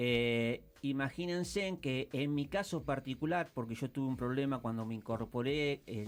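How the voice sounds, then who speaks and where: A man speaks at a moderate pace. His voice is medium in pitch. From Argentina, Mar del Plata. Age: 60s. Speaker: war veteran. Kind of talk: interview. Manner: hesitant, many fillers.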